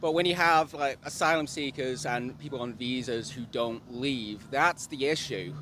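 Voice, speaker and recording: A man speaks with an English accent. His tone is bright and sharp, and his pace is moderate. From England. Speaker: member of the public. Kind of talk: street interview.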